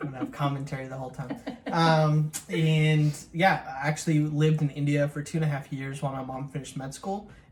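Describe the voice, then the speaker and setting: A man with a fairly high pitch speaks with fairly even intonation over noticeable background noise. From US Midwest, Chicago area. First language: Telugu. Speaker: vlogger, co-host with his wife. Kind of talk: casual chat. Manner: halting, many fillers.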